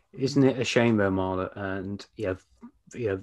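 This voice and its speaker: A man speaks with a British accent. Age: 50s. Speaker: business coach and podcast host. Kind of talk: casual interview. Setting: video call.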